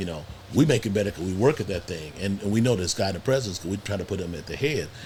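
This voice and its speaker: A man's fairly low, somewhat breathy voice at a very fast pace. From US Midwest, Cleveland, Ohio. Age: 60s. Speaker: podcast guest. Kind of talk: casual chat. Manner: halting, frequent repetitions.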